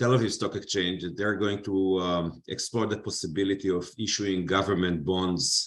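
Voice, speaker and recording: With an Israeli accent, the speaker keeps a fairly even intonation against a quiet background. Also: man. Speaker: finance panelist. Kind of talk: panel discussion.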